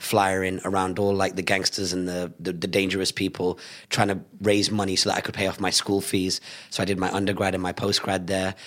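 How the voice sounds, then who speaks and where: The man speaks with a British accent. His pitch is very deep and low, and his pace is fairly quick. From Salford, Greater Manchester, England. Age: 30s. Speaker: entrepreneur and business speaker. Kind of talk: interview. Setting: studio. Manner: animated.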